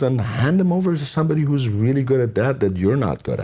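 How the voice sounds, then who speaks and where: The man's pitch swings very widely as he speaks. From Iran. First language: not English (English is his third language). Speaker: entrepreneur. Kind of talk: interview.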